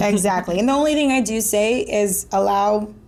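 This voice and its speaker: A woman with a Spanish accent. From Miami, Florida, of Venezuelan-Colombian family. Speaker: marketing director. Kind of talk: casual interview chat.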